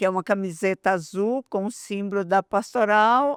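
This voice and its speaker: In a very clean recording with a silent background and a dry, close sound with no echo, a woman with an unremarkable speaking voice talks fairly slowly at a medium pitch with lively intonation. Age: 60s. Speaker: pastoral coordinator. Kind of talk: podcast interview.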